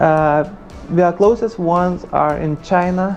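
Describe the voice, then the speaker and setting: A man with a Lithuanian accent, fairly even intonation, and music in the background. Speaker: freelance programmer. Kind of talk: monologue interview.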